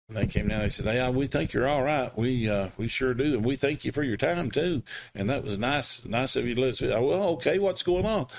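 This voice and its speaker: A man talks at a moderate speed, his pitch swinging very widely. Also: very clean recording, silent background. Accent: American. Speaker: wrestling announcer and auction house owner. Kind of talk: storytelling interview.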